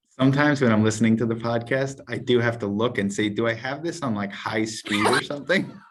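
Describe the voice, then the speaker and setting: A man's medium-pitched voice at a very fast pace with hardly any pauses, ordinary pitch variation and noticeable background noise. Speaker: entrepreneur. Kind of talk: casual chat. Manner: calm.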